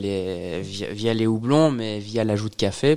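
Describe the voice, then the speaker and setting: A plain, everyday voice at a fairly slow pace. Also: man. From Belgium, Liège region. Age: 30s. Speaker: craft brewer. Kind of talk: casual interview.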